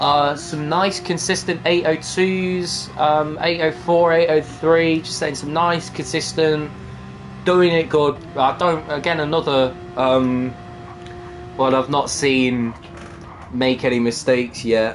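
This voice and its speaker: A man's fairly high voice in an East Midlands accent, at a very slow pace with ordinary pitch variation, over noticeable background noise. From England, East Midlands (Nottingham). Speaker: sim racing commentator. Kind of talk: live commentary. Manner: animated.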